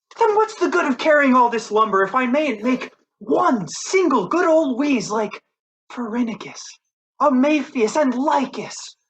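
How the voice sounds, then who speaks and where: A man puts on a character voice at an extremely high pitch. He moves at a moderate pace with lively intonation. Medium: stage play. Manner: grumbling, cheeky.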